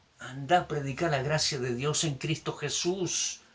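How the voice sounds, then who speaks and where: This man's fairly high voice carries lively intonation, with noticeable background noise in the recording. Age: 60s. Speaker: pastor. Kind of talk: sermon. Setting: recorded video message.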